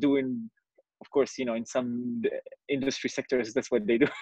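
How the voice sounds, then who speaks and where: A man of medium pitch talks at a very fast pace with ordinary pitch variation. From Morocco. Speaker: meeting participant. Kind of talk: group discussion. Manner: halting, repeats words.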